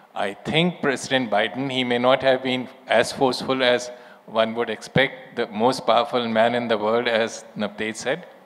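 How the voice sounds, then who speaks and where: A man talks at a moderate pace with an Indian accent. His pitch sits in the middle range. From India, Lucknow. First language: Urdu. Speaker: former diplomat. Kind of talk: panel discussion. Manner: measured, formal.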